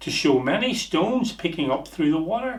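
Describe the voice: Lively intonation carries through audible room echo. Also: man.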